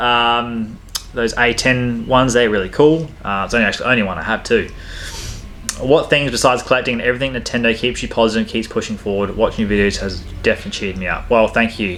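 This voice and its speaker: With music in the background, a man with an Australian accent talks at a very fast pace in a medium pitch with ordinary pitch variation. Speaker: gaming YouTuber, Nintendo collector. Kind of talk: Q&A, reading viewer questions. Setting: home game room. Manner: casual, hesitant with fillers.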